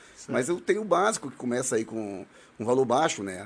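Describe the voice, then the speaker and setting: A man talks at a very fast pace with vocal fry. His pitch swings very widely. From Brazil, Northeast. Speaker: municipal guard and shooting club instructor. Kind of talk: casual chat.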